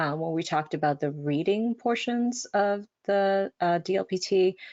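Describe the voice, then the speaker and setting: Speaking at a fairly slow pace, the woman has a fairly low pitch. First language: Spanish. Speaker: language training presenter. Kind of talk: webinar presentation. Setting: online webinar. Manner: frequent filler words.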